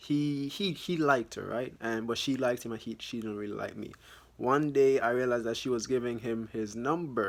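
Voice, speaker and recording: The intonation stays fairly even while the words come at a moderate pace. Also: man. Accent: Jamaican. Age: young. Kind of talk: casual talk to camera.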